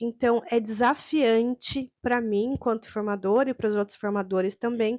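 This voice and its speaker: Her intonation stays fairly even, and her pitch is fairly high. This woman has a plain, everyday voice. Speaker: teacher trainer. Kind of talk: online course lecture. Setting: recorded video with sign interpreter.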